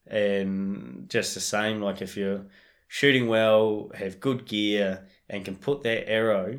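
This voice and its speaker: A man talks with a New Zealand accent. His pitch varies in an ordinary way. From New Zealand, Marlborough Sounds. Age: 20s. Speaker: bowhunter. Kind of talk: casual chat.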